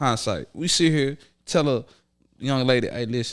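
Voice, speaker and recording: Over a silent background, the very clean recording captures a man talking. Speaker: podcast host. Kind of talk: casual chat. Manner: fast; animated.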